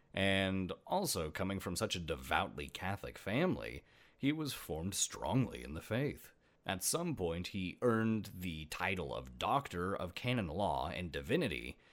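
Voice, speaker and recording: A man's very deep, low voice with vocal fry, very wide pitch swings and a moderate pace. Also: very clean recording, silent background. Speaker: podcast host. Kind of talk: scripted-style solo podcast narration, casual. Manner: casual, humorous, chatty.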